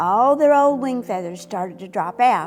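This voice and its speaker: A woman's gentle voice with very wide pitch swings, music playing in the background. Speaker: retired teacher. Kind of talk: children's story read-aloud. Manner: expressive, gentle.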